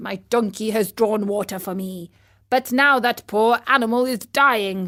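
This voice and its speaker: A woman uses a put-on character voice in a very clean recording with a silent background. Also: fairly high pitch for a woman, moderate pace. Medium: read story. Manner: blunt, transactional.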